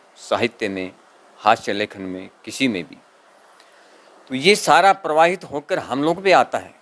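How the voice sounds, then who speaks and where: A man speaks at a medium pitch, the sound dry and close with no echo. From Rajasthan. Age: 60s. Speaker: poet's son-in-law. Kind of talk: interview.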